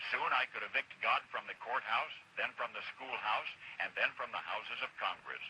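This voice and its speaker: A man talks at a moderate pace in an American accent, with noticeable background noise behind him. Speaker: radio broadcaster. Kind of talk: radio commentary.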